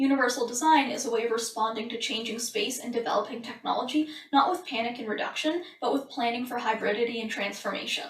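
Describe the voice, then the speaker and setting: Amid noticeable background noise and audible room echo, a woman with a high pitch talks at a very fast pace with hardly any pauses. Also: ordinary pitch variation. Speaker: book reviewer. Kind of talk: book summary. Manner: trips over consonants.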